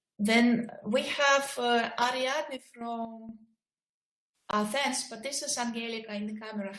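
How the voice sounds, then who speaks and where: Speaking at a fairly slow pace, a woman uses a fairly high pitch. Her intonation is fairly even, and audible room echo surrounds her. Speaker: project coordinator. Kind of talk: video conference moderation. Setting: video call. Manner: soft-spoken. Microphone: too quiet.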